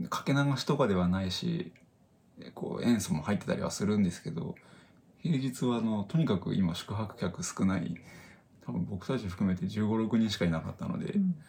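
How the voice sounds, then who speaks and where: A man talks at a fairly quick pace in a fairly low pitch. His pitch swings very widely. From Japan, northern Saitama. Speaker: podcast co-host. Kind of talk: casual chat.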